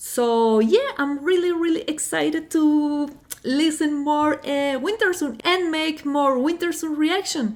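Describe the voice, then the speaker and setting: Speaking fairly slowly in a Spanish accent, a woman with a high voice uses ordinary pitch variation. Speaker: music reaction youtuber. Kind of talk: casual vlog talk to camera. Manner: halting, many fillers.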